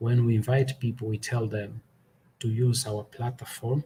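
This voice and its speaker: Somewhat breathy and dark, mellow in tone, a man speaks at a fairly slow pace with fairly even intonation. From Angola. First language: Portuguese. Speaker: podcaster. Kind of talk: festival presentation.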